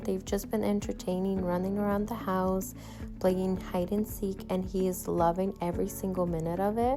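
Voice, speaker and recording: Flat, monotone intonation at a moderate pace over background music. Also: woman. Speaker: stay-at-home mom vlogger. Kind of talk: voiceover narration. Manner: casual.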